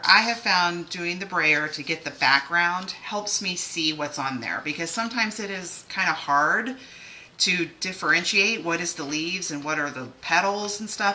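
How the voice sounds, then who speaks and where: Over noticeable background noise and with audible room echo, a woman speaks at a moderate pace in a fairly low pitch. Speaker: card-making demonstrator. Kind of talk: live craft tutorial. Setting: livestream. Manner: casual, filler-heavy.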